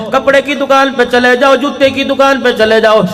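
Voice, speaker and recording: A man speaks with extremely high pitch and a passionate tone, yet his intonation stays monotone and flat. Noticeable background noise runs beneath him. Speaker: Islamic preacher (maulana). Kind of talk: emotional religious sermon (bayan). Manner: emotional, passionate, oratorical.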